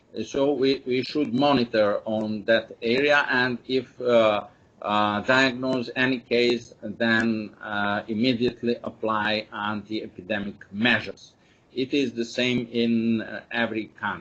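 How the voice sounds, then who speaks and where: A man with a Serbian accent at a medium pitch, speaking at a fairly slow pace with fairly even intonation. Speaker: epidemiology expert speaker. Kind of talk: webinar presentation. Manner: halting, many fillers.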